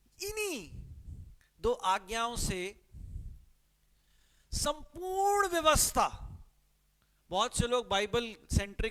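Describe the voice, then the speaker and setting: A man with a Punjabi accent talks with lively intonation. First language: Punjabi (speaking Hindi). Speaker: pastor. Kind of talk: sermon. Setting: live-streamed church service.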